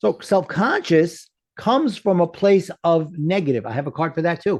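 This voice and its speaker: A man with a New York accent, high-pitched and lively in intonation, at a moderate pace. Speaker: life coach. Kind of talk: interview.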